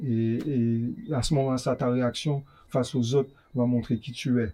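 This man's intonation is monotone and flat. His pitch stays in the medium range. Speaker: rapper. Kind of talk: interview. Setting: bookstore cultural space.

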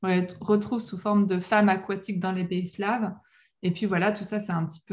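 Somewhat breathy speech at a fairly quick pace. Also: woman. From western France, La Rochelle. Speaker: professional mermaid performer. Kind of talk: interview.

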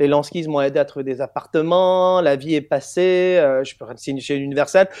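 Against a quiet background, a man with an English accent reads at a fairly slow pace, his pitch high and intonation fairly even. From England. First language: English (speaking French). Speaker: singer. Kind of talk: interview.

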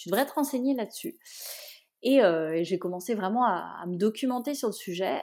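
Speech comes at a moderate pace from a woman. She uses ordinary pitch variation. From Brittany, France. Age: 30s. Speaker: renovator of an old barn. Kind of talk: interview. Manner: hesitant, many fillers and repetitions.

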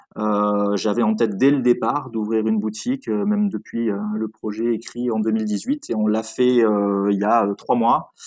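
At a very slow pace with hardly any pauses, a man with a fairly low pitch speaks in a monotone, flat intonation against a quiet background. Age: 30s. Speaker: food retail entrepreneur. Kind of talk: interview.

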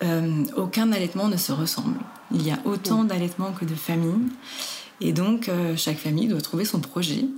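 A woman at medium pitch and moderate pace, with ordinary pitch variation and very even loudness, amid audible room echo and noticeable background noise. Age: 30s. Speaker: lactation consultant and nurse. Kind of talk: interview.

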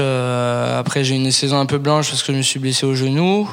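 Noticeable background noise and audible room echo around a man's medium-pitched speech, his intonation fairly even. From Paris region, raised in Toulouse from 14. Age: 20s. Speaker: professional rugby player. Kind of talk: interview. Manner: halting, many fillers and repetitions.

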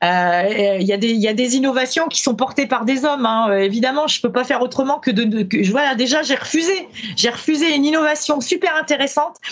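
Lively intonation and a high pitch mark this woman's fairly quick speech, with hardly any pauses and very even loudness. Background noise is noticeable. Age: 50s. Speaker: company founder and training consultant. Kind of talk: interview.

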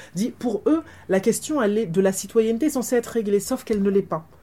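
Lively intonation runs through a woman's speech. There is a somewhat breathy quality to it. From Martinique. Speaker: academic author. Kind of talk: book talk interview.

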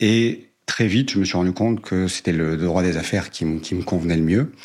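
A man's very deep, low-pitched voice with ordinary pitch variation. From southern France, Cévennes. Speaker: lawyer, law firm co-founder. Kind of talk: interview conversation. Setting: firm's meeting room.

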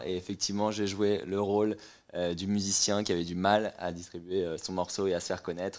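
The delivery is fairly quick and monotone, flat in intonation, on a very clean recording with a silent background. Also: man. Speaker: music startup co-founder. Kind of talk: casual chat.

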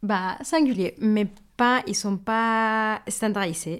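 In a Mexican accent, a woman speaks at a fairly high pitch with ordinary pitch variation. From Mexico. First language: Spanish (speaking French). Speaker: baker. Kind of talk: interview. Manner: hesitant with fillers.

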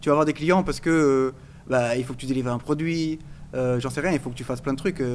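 A man talks at a very fast clip in a fairly high pitch. His intonation stays fairly even. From Portugal. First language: Portuguese (speaking French). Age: 30s. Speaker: crypto entrepreneur, IT engineer. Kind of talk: casual chat.

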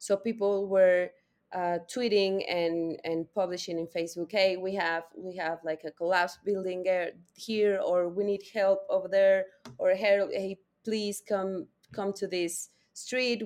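Speaking with a Spanish accent, a woman at medium pitch keeps a fairly slow pace and fairly even intonation. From Mexico. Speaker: data policy consultant. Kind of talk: interview.

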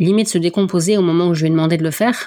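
A woman speaks in a northern French accent with a dark, mellow tone and fairly low pitch. Her intonation is fairly even. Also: very clean recording, silent background. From northern France. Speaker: podcast host and athletics volunteer. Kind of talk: interview.

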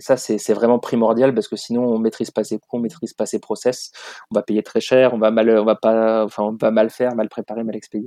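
A man's medium-pitched, dark and mellow voice at a fairly quick pace, monotone and flat in intonation, with a dry, close sound and no echo. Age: 30s. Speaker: supply chain consultant and social entrepreneur. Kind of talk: interview conversation. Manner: hesitant, many fillers.

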